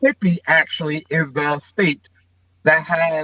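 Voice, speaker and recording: A man with a normal speaking voice and fairly high pitch talks at a moderate pace in a dry, close sound with no echo. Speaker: politician. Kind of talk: interview answer.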